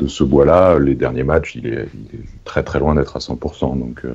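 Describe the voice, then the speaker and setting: Music plays in the background as a man talks at a very slow pace. His pitch is very deep and low, with ordinary variation. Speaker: sports journalist. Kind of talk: casual chat. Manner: halting, repeats words.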